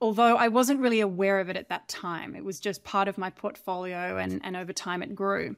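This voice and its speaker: With an Australian accent, a woman talks at a fairly quick pace with hardly any pauses, her medium pitch showing ordinary variation. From Australia, rural farm. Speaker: cybersecurity consultant, former prosecutor. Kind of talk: interview.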